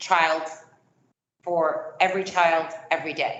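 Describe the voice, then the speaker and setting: A woman's pitch moves in the usual way while audible room echo hangs around her words. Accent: non-native. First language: not English. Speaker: education company presenter. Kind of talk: sales presentation.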